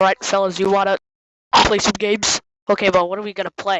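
A female-sounding cartoonish character voice races along at a very fast pace, with a middle pitch and monotone, flat intonation. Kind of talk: cartoon comedy voice acting. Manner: upbeat, casual.

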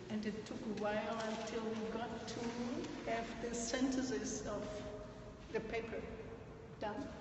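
With long, frequent pauses, a woman speaks in a fairly high pitch and monotone, flat intonation, over noticeable background noise and audible room echo. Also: fairly slow pace. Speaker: audience participant. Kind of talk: group discussion. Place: hall. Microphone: phone near.

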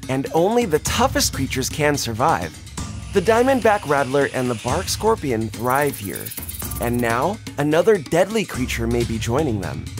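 With music in the background, the speaker moves at a moderate pace through very wide pitch swings. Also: man, fairly high pitch for a man. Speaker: voice actor. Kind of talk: nature documentary narration.

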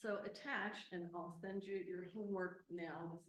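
A woman with a fairly low pitch speaks somewhat breathily, her intonation fairly even. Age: 70s. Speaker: retired school employee speaking at public comment. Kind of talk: public comment at board meeting. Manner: formal.

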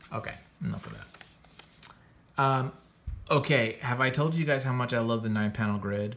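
The pace is moderate. Intonation stays fairly even. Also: man. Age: 40s. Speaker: comics podcast host and artist; comics podcast host. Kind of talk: casual review monologue. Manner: casual, filler-heavy. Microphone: phone near.

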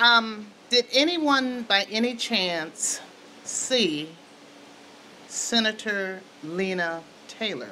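With an American accent, a woman at a fairly high pitch speaks very slowly with lively intonation and long, frequent pauses, over light background noise. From Wisconsin. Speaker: community forum moderator. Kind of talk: public forum moderation. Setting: stage with audience. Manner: animated. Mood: earnest, concerned. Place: meeting room. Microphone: handheld.

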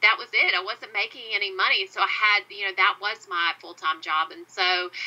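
Speaking with a Southern US accent, a woman keeps a medium pitch and a moderate pace. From US South. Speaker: podcast host. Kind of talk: interview conversation.

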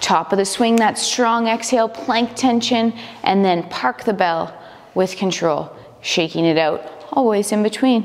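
A woman speaks at a fairly slow pace in a fairly high voice. Her tone is calm and her loudness very even. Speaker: fitness instructor. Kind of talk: instructional workout coaching, step-by-step cueing of exercises. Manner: clear, directive, calm and encouraging, with brisk countdown cues. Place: gym.

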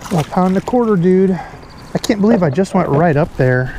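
Dry sound with no echo and light background noise. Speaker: fishing vlogger. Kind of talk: casual vlog chat. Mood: excited, upbeat. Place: boat. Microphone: camera far.

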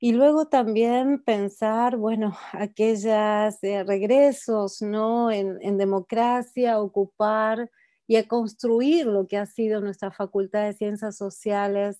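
A woman speaks very slowly in a dark, mellow tone. Her pitch is fairly high, her intonation fairly even. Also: quiet background. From Argentina. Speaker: academic panelist. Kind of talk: academic talk. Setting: video call. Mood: reflective, somber tribute. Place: home room. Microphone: earbuds.

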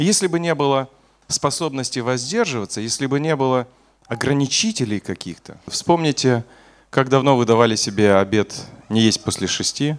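A man talks at a moderate pace with lively intonation. He leaves long, frequent pauses. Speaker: preacher. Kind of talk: sermon. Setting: church. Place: church. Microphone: podium.

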